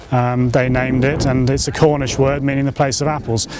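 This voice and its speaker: A man's voice, dry and without echo, over faint background music. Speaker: site owner or host. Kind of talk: interview answer. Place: open country. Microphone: lapel.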